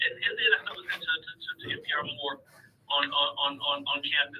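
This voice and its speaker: The pace is very fast as a man talks. Background noise is noticeable. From Chicago, South Side. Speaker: caller. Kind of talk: radio call-in. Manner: halting, many repetitions.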